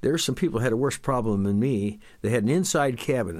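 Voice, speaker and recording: A man talking at a very fast pace. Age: 70s. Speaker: physician. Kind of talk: interview testimony.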